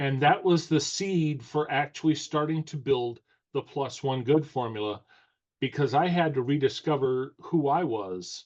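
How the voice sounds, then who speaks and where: A man with an unremarkable speaking voice talks at a fairly slow pace and a fairly high pitch against a quiet background. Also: ordinary pitch variation. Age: 60s. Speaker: course creator, self-help coach. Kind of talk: podcast interview.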